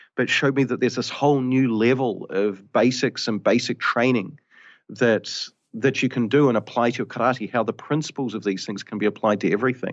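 A man at a fairly quick pace, medium in pitch, with ordinary pitch variation.

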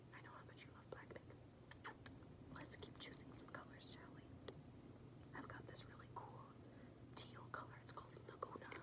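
A woman talks at a moderate pace. Loud background noise fills the recording. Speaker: ASMR creator. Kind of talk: ASMR personal attention roleplay. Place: home room. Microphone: phone near.

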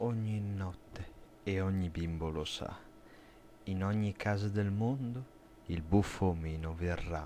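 A man's very deep, low voice at a very slow pace, with ordinary pitch variation and long, frequent pauses. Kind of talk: bedtime story, rhyming creepy tale read aloud.

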